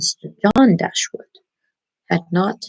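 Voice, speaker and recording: A woman with an American accent speaks quietly and somewhat breathily at a moderate pace, in a dry, close sound with no echo. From United States (Baltimore, Maryland). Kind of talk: ASMR book reading, quiet bedtime reading. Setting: small bedroom, laptop mic, poor sound quality. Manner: quiet, hushed, low voice.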